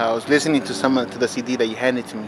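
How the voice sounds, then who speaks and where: A man speaks at a medium pitch with an American accent and ordinary pitch variation. Noticeable background noise can be heard. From Los Angeles area. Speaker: interviewer. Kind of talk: interview. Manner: casual.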